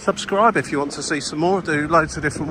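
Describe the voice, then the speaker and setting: This man speaks at a fairly quick pace with a southern English accent. Noticeable background noise runs beneath his voice. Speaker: travel vlogger. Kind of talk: walking vlog narration. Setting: outdoors walking city streets. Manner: halting, many fillers; casual.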